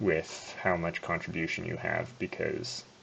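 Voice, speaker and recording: This man talks at a fairly slow pace. Noticeable noise sits behind his voice. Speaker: gaming youtuber. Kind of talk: gameplay commentary. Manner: soft-spoken. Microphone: poor audio quality.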